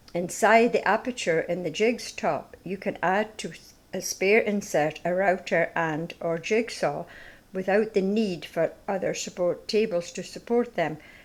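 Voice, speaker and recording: A woman's voice with a Scottish accent and ordinary pitch variation. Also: medium pitch for a woman, fairly slow pace. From Scottish Highlands. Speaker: narrator. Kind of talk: product demonstration narration.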